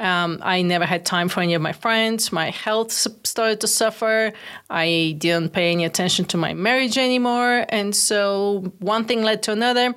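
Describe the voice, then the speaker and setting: A woman with a Bulgarian accent at a medium pitch, moderate pace and ordinary pitch variation, with hardly any pauses, very even loudness and a very clean recording over a silent background. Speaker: entrepreneur. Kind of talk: interview.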